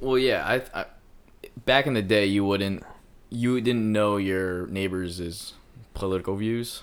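Recorded very cleanly against a silent background, a man with an American accent speaks in an ordinary speaking voice at a moderate pace, his pitch fairly low and his intonation fairly even. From Philadelphia. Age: 20s. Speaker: event planner and music producer. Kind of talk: casual chat.

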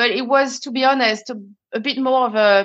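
A fairly quick pace with a French accent and ordinary pitch variation. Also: woman. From France. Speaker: conscious leadership expert. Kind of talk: casual interview chat.

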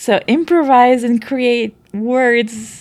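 Someone speaks very slowly in a Portuguese accent. The recording is very clean, with a silent background. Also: woman. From Brazil. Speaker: language teacher and researcher. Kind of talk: casual explanatory conversation.

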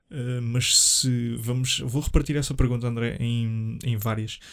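A man's medium-pitched voice in a European Portuguese accent, monotone and flat, at a fairly slow pace. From Portugal, Leiria. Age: 20s. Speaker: podcast host. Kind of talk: solo casual monologue. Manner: hesitant, many fillers.

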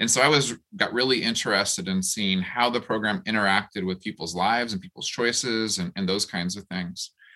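With a bright, sharp tone, a man speaks at a fairly quick pace, his pitch fairly low and its variation ordinary. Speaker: professor and housing researcher. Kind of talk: panel discussion. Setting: video call.

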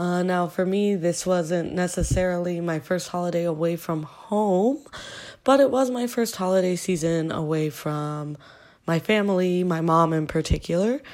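At a moderate pace and with ordinary pitch variation, the voice comes through on a very clean recording with a silent background. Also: woman, fairly low pitch for a woman. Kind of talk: casual podcast chat. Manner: hesitant, many fillers.

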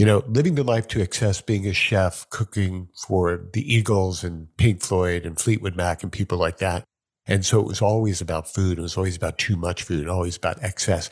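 At a moderate pace with hardly any pauses, a man with an American accent speaks in a very deep, low, somewhat breathy voice with ordinary pitch variation. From New York. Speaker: podcast host. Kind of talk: casual interview chat. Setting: video call.

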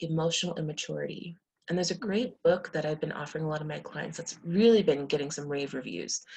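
A woman speaks with an American accent and a somewhat breathy sound. Her pitch varies in an ordinary way. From United States, Indian American family. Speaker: sex therapist and clinical social worker. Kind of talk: podcast interview.

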